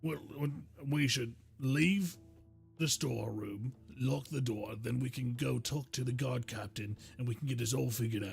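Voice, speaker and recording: A man talks in a put-on character voice that is raspy, at medium pitch with ordinary pitch variation. He keeps a moderate pace while clear music plays in the background. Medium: actual play. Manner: blunt, coarse.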